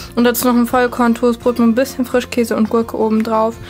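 A woman speaks with faint music in the background. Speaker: food diary vlogger. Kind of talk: casual vlog chat. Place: home room. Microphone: phone near.

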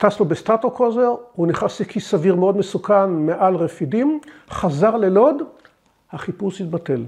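Against a quiet background, a man speaks at a fairly slow pace. His voice is high, with lively intonation. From Israel, Beit She'an Valley kibbutz; Israel. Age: 70s. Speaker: war veteran. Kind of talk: testimony; interview answer. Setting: at home. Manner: halting, with frequent repetitions. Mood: calm, reflective. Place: home room.

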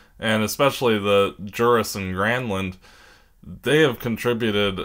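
On a very clean recording with a silent background, a man talks at a fairly slow pace. His unremarkable speaking voice is fairly low, with fairly even intonation. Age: 20s. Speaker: hockey podcast co-host. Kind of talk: casual chat.

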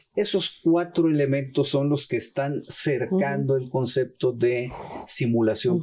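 Somewhat breathy and very even in loudness, a man talks at a moderate pace in a dark, mellow tone with ordinary pitch variation over light background noise. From Mexico, Sinaloa. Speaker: tax lawyer and law professor; tax lawyer, law professor. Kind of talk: expert interview on TV program. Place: studio. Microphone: lapel.

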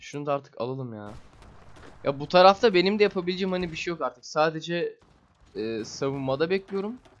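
A man talks at a fairly quick pace and high pitch with lively intonation. There are big swings in his loudness. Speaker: gaming video creator. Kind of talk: gameplay commentary. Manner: casual, hesitant with filler sounds.

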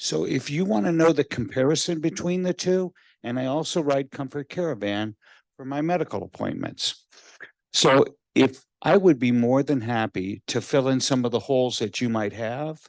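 A man speaks at a moderate pace with a medium pitch and lively intonation, in a normal speaking voice. The sound is dry and close with no echo, over a quiet background. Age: 60s. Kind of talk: public comment at county meeting. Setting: public meeting room, handheld microphone.

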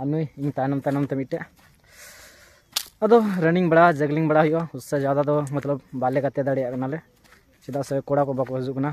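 A man speaks at a moderate pace with a medium pitch. His tone is slightly mellow, and his pitch moves little.

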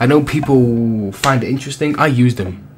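Moderate-paced speech over faint background music. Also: man. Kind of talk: casual vlog chat. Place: home room. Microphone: studio mic.

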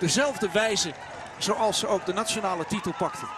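Against noticeable background noise, a man talks at a moderate pace in a high pitch with an animated, excited tone. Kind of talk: live race commentary on women's cycling world championship. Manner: animated, excited, rising enthusiasm as the win nears.

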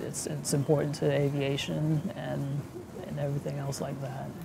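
The man talks at a moderate speed. Behind him, background noise is clearly noticeable. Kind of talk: interview answer. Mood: proud, reflective. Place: factory.

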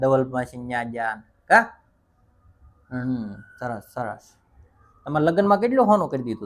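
A man with an ordinary speaking voice, medium pitch and lively intonation. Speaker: vlogger interviewing his grandmother. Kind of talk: casual family vlog chat.

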